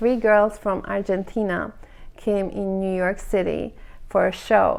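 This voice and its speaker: A woman speaks with a non-native accent. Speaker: hairstylist. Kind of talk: casual monologue. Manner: animated.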